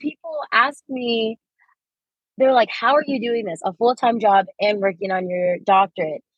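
Her pitch sits fairly high, and she speaks with a Californian accent. The woman's pace is fairly slow. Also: lively intonation. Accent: Californian American. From Los Angeles, US. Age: 20s. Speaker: teacher and doctoral student. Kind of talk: interview. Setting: in a car in traffic.

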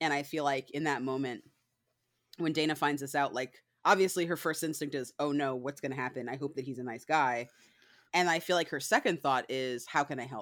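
Speaking at a fairly quick pace, a woman with a very deep, low pitch and a slight northern US accent comes through on a very clean recording with a silent background. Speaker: book club co-reader. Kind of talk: casual chat.

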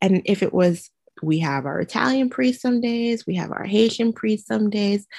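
The speaker talks at a moderate pace with very wide pitch swings and a somewhat breathy voice. The sound is dry and close, with no echo. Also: woman. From Trinidad and Tobago. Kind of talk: interview testimony. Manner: animated.

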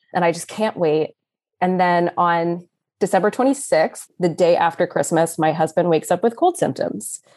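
A plain, everyday voice, this woman speaks at a moderate pace with ordinary pitch variation and very even loudness. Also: fairly low pitch for a woman. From Texas, Austin. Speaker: new mother sharing birth story. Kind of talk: casual interview, personal story.

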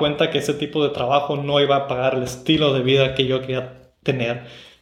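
Audible room echo surrounds a man speaking at a fairly quick pace. His fairly high voice stays in a monotone, flat intonation. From Mexico, Tijuana. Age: 30s. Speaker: podcast host. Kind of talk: solo podcast monologue. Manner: halting, with fillers and repeated words.

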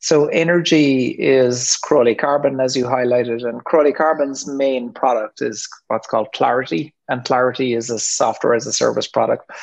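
With an Irish accent, a man talks at a moderate pace and medium pitch, with fairly even intonation and hardly any pauses. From Ireland. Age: 50s. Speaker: entrepreneur. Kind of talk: interview. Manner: halting, many ums.

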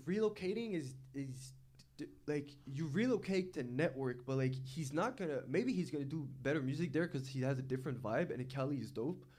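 At a moderate pace, a man with a fairly high pitch sounds somewhat breathy, his intonation lively. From Montreal, Quebec. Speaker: rapper. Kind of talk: casual chat.

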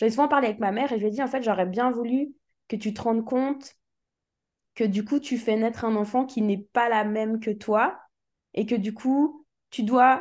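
A woman's fairly high voice holds fairly even intonation at a moderate pace, with a quiet background behind her. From Switzerland. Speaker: musician. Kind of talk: interview.

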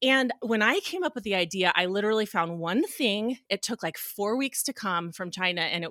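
Delivered at a fairly quick pace with ordinary pitch variation, this voice has a bright, sharp tone, recorded very cleanly against a silent background with a dry, close sound and no echo. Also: woman. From Reno, Nevada. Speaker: clothing line founder and family physician. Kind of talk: casual interview chat.

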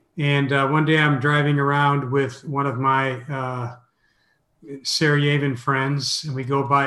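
A man speaks at a moderate pace and fairly high pitch, his tone bright and sharp. His intonation is monotone and flat, with audible room echo. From US Midwest (Minneapolis). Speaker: mission organization president and author. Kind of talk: interview.

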